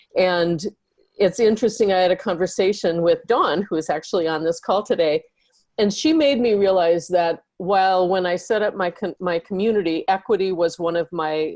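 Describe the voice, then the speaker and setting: Using an ordinary speaking voice, a woman talks at medium pitch with ordinary pitch variation. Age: 60s. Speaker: audience member asking a question. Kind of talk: question in online panel. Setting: video call.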